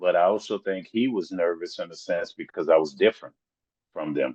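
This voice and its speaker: A man with a Southern accent at a fairly slow pace, dry and close with no echo. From US South. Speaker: rapper. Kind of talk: interview.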